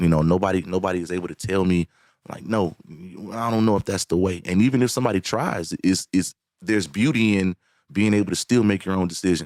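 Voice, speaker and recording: A very deep, low-voiced man with an American accent at a fairly quick pace, ordinary pitch variation, and a dry, close, very clean recording over a silent background. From Alabama, US South. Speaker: singer and songwriter. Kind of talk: podcast interview. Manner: halting, many repetitions.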